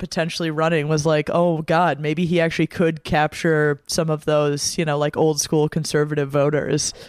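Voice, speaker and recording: A woman's normal speaking voice, fairly low in pitch, with an American accent and a fairly quick pace. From US Midwest, Wisconsin. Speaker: podcast guest. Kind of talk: casual chat. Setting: studio.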